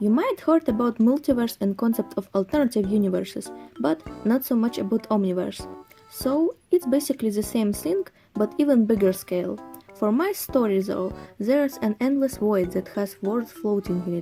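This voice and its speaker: A woman's fairly high, lively voice at a moderate pace with a non-native accent, music in the background. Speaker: hobby artist and worldbuilder. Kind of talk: casual explanatory narration.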